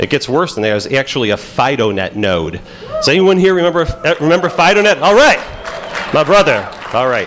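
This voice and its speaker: A man with a Chicago accent talks fairly quickly at a fairly high pitch, with very wide pitch swings. Crowd noise fills the background. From Pittsburgh, Pennsylvania. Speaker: FBI agent and conference speaker. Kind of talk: conference talk. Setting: stage with audience. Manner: halting, many fillers.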